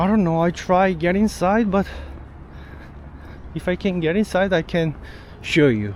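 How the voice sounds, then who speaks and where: A man at a high pitch with a Korean accent, at a moderate pace with long, frequent pauses, ordinary pitch variation and very even loudness. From South Korea. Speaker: travel vlogger. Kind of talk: travel vlog walkthrough.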